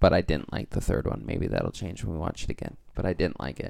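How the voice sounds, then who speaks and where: A man's very deep, low voice with vocal fry. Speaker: podcast panelist. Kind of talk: casual chat. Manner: playful.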